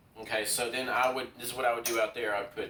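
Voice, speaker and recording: There is noticeable background noise. A man talks at medium pitch. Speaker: craps video creator. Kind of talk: casual vlog talk while playing craps. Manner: fast; hesitant, many fillers.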